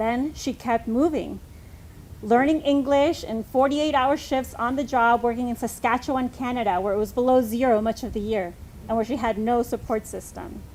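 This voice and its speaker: A high-pitched woman with a Spanish accent and fairly even intonation. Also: moderate pace. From US, summers in Mexico. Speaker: congregation member giving reflection. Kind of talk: personal reflection read aloud.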